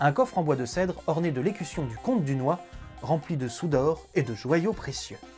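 A man talks at a moderate pace over faint background music. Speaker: storyteller host. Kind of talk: storytelling narration to camera. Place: home room. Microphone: lapel.

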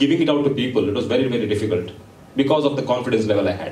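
An animated voice in an Indian accent, with audible room echo. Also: man. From India, Mangalore. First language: Konkani. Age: young. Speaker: entrepreneur and guest speaker. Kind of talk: motivational talk to students. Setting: stage with audience. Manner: animated, interactive with audience. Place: hall. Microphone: pa.

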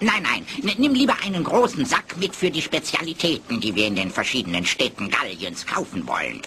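High male voice at a moderate pace with hardly any pauses, over clear background noise. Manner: brisk, confident, decisive.

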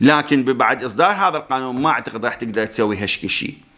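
Over a quiet background, a man with an Iraqi accent talks in a bright, sharp tone. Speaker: YouTuber commentator on news. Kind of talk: news commentary monologue. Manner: conversational, explanatory. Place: studio. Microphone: studio mic.

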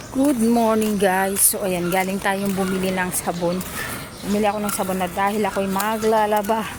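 In a room with audible echo and noticeable background noise, a woman speaks at a moderate pace and medium pitch with monotone, flat intonation. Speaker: vlogger. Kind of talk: casual vlog narration.

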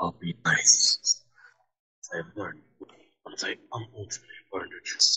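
Putting on a character voice, a man talks at a fairly slow pace with long, frequent pauses. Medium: machinima. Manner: formal, wary, melancholy; earnest, matter-of-fact explaining.

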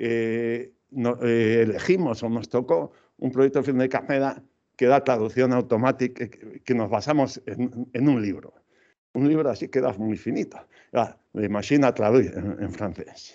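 The voice has a dark, mellow tone, with ordinary pitch variation and a moderate pace, set against a quiet background. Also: man. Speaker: computational linguistics researcher; invited lecturer. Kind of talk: lecture. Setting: lecture hall, hybrid event. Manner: halting. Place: hall.

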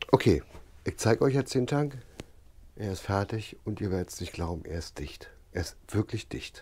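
A man with a fairly low, somewhat breathy voice talks at a moderate pace, his intonation lively and his loudness swinging widely. He leaves long, frequent pauses. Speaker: DIY motorbike builder and video creator. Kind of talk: workshop vlog tutorial. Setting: home workshop. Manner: casual.

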